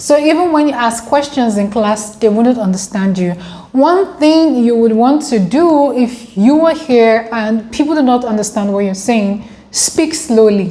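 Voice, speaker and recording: A woman talks at a fairly slow pace in an African accent. Her pitch is fairly high, with lively intonation. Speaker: international student vlogger. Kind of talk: casual vlog.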